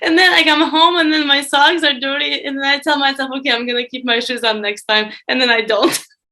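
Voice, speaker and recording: Speaking with a Russian accent, a woman talks at a fairly quick pace in a high pitch, with hardly any pauses. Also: ordinary pitch variation. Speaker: former student employee. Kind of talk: podcast interview.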